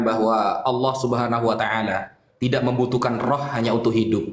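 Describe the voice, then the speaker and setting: A man talks at a fairly quick pace in a monotone, flat intonation with medium pitch. Audible room echo and noticeable background noise surround him. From Java, Indonesia. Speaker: Islamic preacher. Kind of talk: religious debate.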